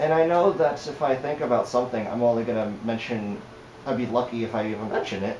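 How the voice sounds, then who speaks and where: Amid noticeable background noise and audible room echo, a man speaks at a very fast pace. His medium pitch carries ordinary pitch variation. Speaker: fursuit vlogger. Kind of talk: casual vlog monologue. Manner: halting.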